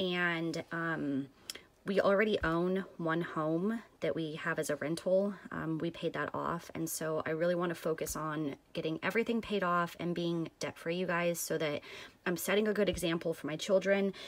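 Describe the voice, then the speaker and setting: At a moderate pace, a woman talks in a normal speaking voice with fairly even intonation. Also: fairly low pitch for a woman. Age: 30s. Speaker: crafting vlogger. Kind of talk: casual vlog monologue. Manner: casual, many filler ums.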